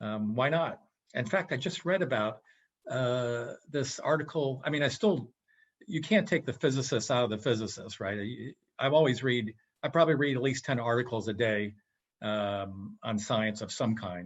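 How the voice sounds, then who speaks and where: In an American accent, a man speaks at a moderate pace in medium pitch with lively intonation, an unremarkable speaking voice. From western Massachusetts. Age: 60s. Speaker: physicist and business consultant. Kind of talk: casual interview chat.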